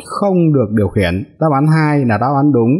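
A man talks with lively intonation. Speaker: driving instructor. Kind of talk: tutorial. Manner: hesitant fillers.

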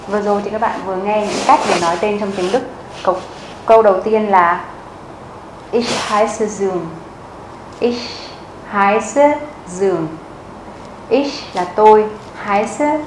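Over noticeable background noise, the speech moves at a fairly slow pace with long, frequent pauses. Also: woman. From Vietnam. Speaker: German language teacher; language teacher. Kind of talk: tutorial. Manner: slow, clear repetition. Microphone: lapel.

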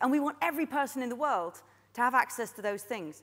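Against a quiet background, a woman speaks at a high pitch and a fairly quick pace. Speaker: conference keynote speaker. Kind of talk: keynote talk. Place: stage.

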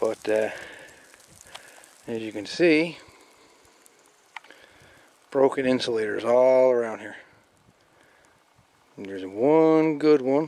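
In a dry sound with no echo, a man speaks very slowly with long, frequent pauses, ordinary pitch variation and big swings in loudness. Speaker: outdoor explorer vlogger. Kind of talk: casual vlog commentary. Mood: curious, pleased. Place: open country. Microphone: phone near.

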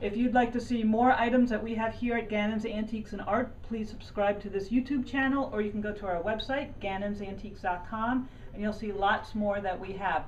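Light background noise sits behind a woman speaking at a fairly quick pace. Her pitch varies in an ordinary way. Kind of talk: promotional walkthrough talk. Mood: friendly, enthusiastic. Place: shop. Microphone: camera far.

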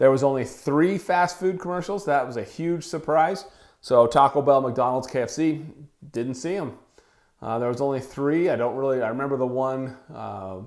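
The setting is quiet. A man talks at a moderate speed, his pitch varying in an ordinary way. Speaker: wellness podcaster. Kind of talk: solo podcast commentary. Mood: casual, amused. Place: home room. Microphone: lapel.

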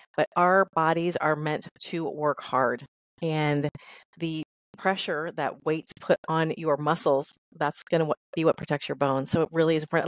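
A woman speaks with an American accent at a moderate pace. Her pitch sits fairly low for a woman. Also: quiet background, dry sound with no echo. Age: 50s. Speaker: fitness trainer. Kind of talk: interview. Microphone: headset.

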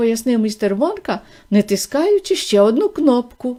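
An unforced reading voice carries the whole clip.

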